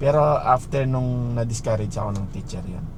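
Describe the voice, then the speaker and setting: At a medium pitch and moderate pace, a man speaks amid audible room echo and noticeable background noise. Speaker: vlogger. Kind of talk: casual monologue. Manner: rambling conversational with fillers.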